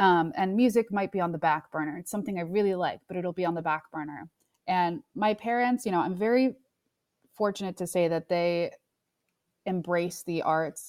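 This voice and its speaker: A woman with a normal speaking voice and an American accent talks at a moderate pace and fairly low pitch, with ordinary pitch variation. The recording is very clean, dry and close, with no echo and a silent background. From New York. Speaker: music industry executive. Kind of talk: interview.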